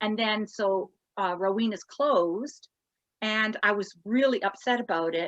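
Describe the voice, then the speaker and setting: A woman speaks in a Canadian accent with an unremarkable speaking voice. Her pitch is fairly high, with ordinary variation, and her pace is fairly slow. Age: 60s. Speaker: pinup contestant and retro clothing shop owner. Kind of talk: podcast interview.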